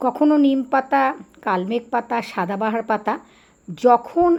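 A woman's high-pitched voice with ordinary pitch variation, on a very clean recording with a silent background. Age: 60s. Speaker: yoga teacher. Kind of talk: vlog talk to camera.

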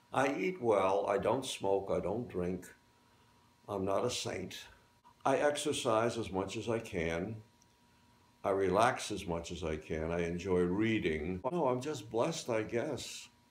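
Audible room echo surrounds a man whose fairly low voice carries lively intonation. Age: 90s. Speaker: war veteran and graduating student. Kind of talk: interview. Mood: cheerful, lively. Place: home room.

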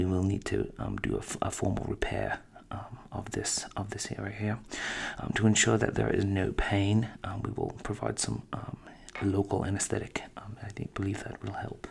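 A man is whispering. He keeps a moderate pace. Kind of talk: soft-spoken roleplay narration. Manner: soft-spoken, slow clinical ASMR voice. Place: home room. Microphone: studio mic.

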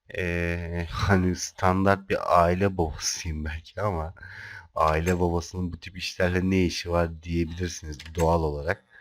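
Very deep, low-pitched male voice, monotone and flat, at a fairly slow pace in a very clean recording with a silent background. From Turkey, Kocaeli (Izmit). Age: 30s. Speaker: gaming youtuber. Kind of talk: gameplay commentary. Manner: hesitant, many filler sounds.

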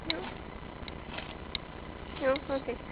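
A woman speaks with noticeable background noise. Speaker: horse barn volunteer. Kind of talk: casual talk to camera. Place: farm machine. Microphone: phone near.

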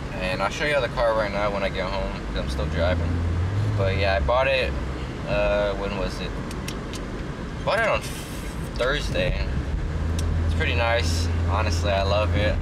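Loud background noise runs under the recording. A man talks at a moderate pace with long, frequent pauses. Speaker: fitness vlogger. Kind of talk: casual vlog chat. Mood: content, smiling. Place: car. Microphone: phone near.

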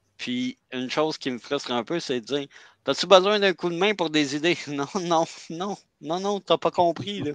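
In a Quebec accent, a man speaks at a moderate pace and a fairly high pitch with ordinary pitch variation, in a dry, close sound with no echo and a quiet background. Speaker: self-published author. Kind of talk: casual live chat. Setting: video call. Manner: halting.

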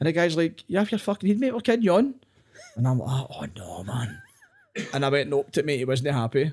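A man with a Glaswegian accent, fairly high pitch, very wide pitch swings and a fairly quick pace. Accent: Glaswegian Scottish. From Scotland, Glasgow area. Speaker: comedian. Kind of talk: casual chat. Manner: animated. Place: home room. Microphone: studio mic.

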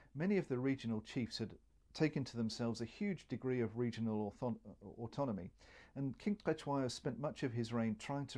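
The man's tone is dark and mellow. Nothing stirs in the background. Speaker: historian; interviewee. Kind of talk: interview commentary, expert analysis. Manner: measured, explanatory, occasionally hesitant. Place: home room.

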